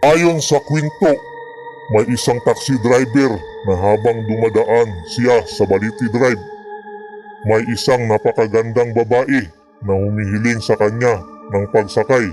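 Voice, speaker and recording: A man puts on a character voice at a medium pitch, speaking at a fairly slow pace. Clear music plays in the background. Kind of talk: horror narration. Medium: read story. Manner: steady, explanatory.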